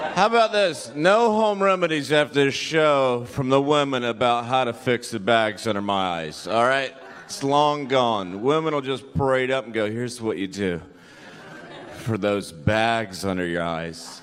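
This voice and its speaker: A man talks at a moderate pace and medium pitch, his pitch swinging very widely. Room echo is audible. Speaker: stand-up comedian. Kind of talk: stand-up. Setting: stage with audience.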